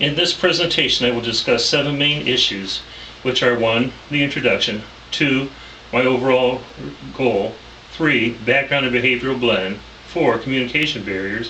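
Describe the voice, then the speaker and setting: Heard over noticeable background noise and audible room echo, a man with a medium pitch talks at a moderate pace. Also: ordinary pitch variation. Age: 60s. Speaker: pastor and counseling student. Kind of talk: class presentation. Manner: formal.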